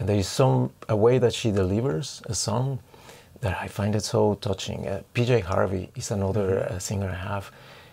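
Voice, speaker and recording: A man speaks with fairly low pitch and ordinary pitch variation. His voice is somewhat breathy. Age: 50s. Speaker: dancer and choreographer. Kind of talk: interview.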